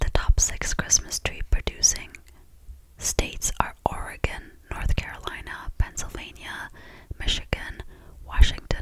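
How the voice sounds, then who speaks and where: A soft-spoken woman whispering at a fairly slow pace. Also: dry sound with no echo. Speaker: content creator. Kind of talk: casual chat, reading Christmas facts. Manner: soft close-mic whisper. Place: home room. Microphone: studio mic.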